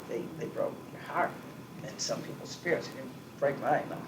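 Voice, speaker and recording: A man with an American accent speaks at a moderate pace. Noticeable background noise and audible room echo fill the recording. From US Northeast. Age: 60s. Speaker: business owner. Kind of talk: oral history interview. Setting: at home.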